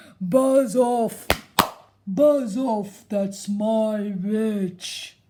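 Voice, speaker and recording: A put-on character voice sounds female. It is shrill. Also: fairly high pitch for a woman. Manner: menacing, fierce.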